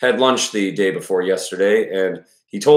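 With the background quiet, a passage is read aloud in a natural voice.

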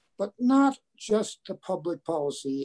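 Against a quiet background, a man speaks in a dark, mellow tone. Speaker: interview guest. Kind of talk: spoken introduction in an online meeting. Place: home room. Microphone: video call.

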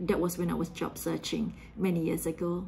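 A somewhat breathy woman's voice in a dark, mellow tone, fairly slow, over light background noise. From Singapore. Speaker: quality assurance engineer. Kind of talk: short recorded video message. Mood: warm, smiling, reflective. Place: home room. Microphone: phone near.

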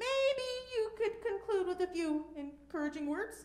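A woman does a squeaky, put-on character voice at an extremely high pitch and a moderate pace. There is a slight echo.

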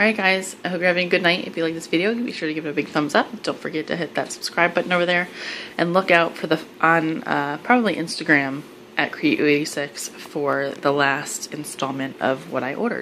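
In a normal speaking voice, a woman talks at a fairly quick pace with a fairly low pitch and ordinary pitch variation over light background noise. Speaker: haul vlogger. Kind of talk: casual product review chat. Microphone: phone near.

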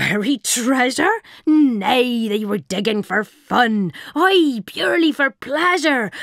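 A man is speaking. He uses a put-on character voice. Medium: read story. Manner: blustering, protesting innocence.

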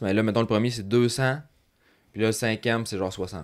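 In a very clean recording with a silent background, a man with a Quebec accent speaks at a fairly low pitch. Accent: Québécois French. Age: 30s. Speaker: motocross coach and podcast host. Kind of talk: casual chat.

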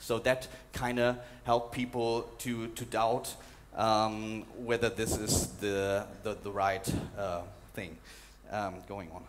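A man with a medium pitch and fairly even intonation speaks at a very slow pace, leaving long, frequent pauses over light background noise. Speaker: documentary journalist and conference speaker. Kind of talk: conference talk with slides and video clips. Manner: hesitant, fillers, repeats words. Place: hall. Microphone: headset.

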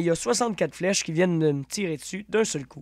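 A high-pitched man with lively intonation, in a dry, close sound with no echo. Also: very clean recording, silent background. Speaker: gaming YouTuber. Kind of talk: tutorial.

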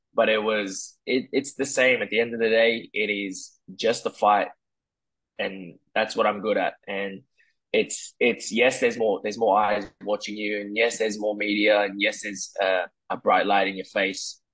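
With an Australian accent, a man talks at a moderate pace in a fairly low pitch and a monotone, flat intonation against a quiet background. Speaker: mixed martial arts fighter. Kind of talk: interview. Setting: video call. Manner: halting, many repeated words. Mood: relaxed, confident, smiling. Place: home room. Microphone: earbuds.

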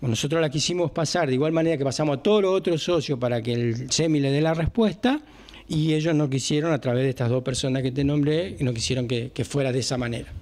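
The loudness stays very even throughout. Delivery is very fast, with ordinary pitch variation. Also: man, fairly high pitch for a man. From Argentina. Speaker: emergency service owner. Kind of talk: interview. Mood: frustrated, explaining. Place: office.

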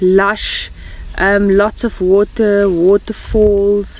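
There is light background noise and a dry sound with no echo as a woman speaks. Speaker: travel vlogger. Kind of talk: casual vlog chat. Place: open country.

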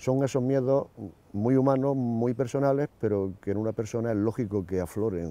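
A man's dark, mellow tone comes through in a dry sound with no echo. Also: ordinary pitch variation, moderate pace. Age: 60s. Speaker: ostomy patient. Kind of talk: testimony. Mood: calm, matter-of-fact.

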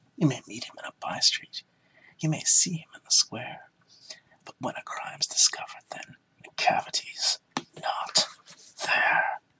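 Someone whispers at a moderate pace, with long, frequent pauses. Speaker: ASMR reader. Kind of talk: poetry reading. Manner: soft-spoken, calm.

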